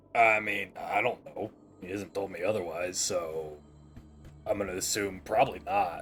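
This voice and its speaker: Putting on a raspy character voice, a man speaks at a moderate pace and a fairly low pitch while clear music plays in the background. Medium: actual play. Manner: dry, laconic.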